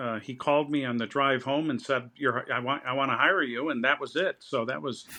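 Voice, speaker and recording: Fairly quick in pace, a man's voice comes through. His pitch sits fairly high. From US Midwest, Chicago area. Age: 60s. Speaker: think tank president, poet. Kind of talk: interview conversation. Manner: halting, many repetitions.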